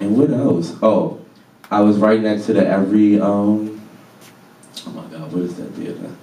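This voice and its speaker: Over audible room echo, a man with a fairly low pitch speaks at a moderate pace in fairly even intonation, with long, frequent pauses. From Baltimore, Maryland, US. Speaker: artist and lecture speaker. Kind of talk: public talk. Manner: casual, conversational.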